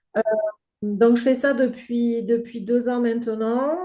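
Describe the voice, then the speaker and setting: A woman's fairly high voice at a very slow pace. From southern France. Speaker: grief counsellor and game creator. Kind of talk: podcast interview. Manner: hesitant, many filler sounds.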